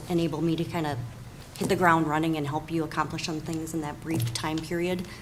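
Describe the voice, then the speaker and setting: A woman's very deep, low voice in a monotone, flat delivery, with noticeable background noise and audible room echo. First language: not English. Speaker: school board applicant. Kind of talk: interview.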